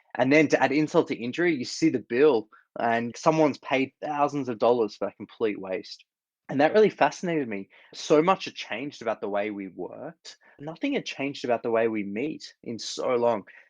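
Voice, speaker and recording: A man with an Australian accent talks at a fairly quick pace in a medium pitch, using lively intonation. The sound is dry and close with no echo, over a quiet background. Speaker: startup founder, former corporate attorney. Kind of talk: interview.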